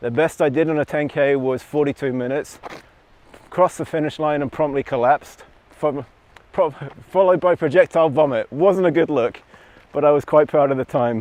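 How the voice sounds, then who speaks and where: A man talks at a fairly quick pace with long, frequent pauses, at a fairly high pitch and with fairly even intonation. The sound is dry and close with no echo, and there is noticeable background noise. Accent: American. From London, England. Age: 40s. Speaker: runner. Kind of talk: casual chat.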